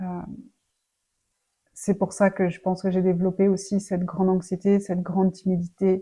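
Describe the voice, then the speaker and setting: At a moderate pace, a woman speaks with a medium pitch, a dark, mellow tone and a somewhat breathy quality. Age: 30s. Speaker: personal development vlogger. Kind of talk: personal life story. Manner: halting, many fillers.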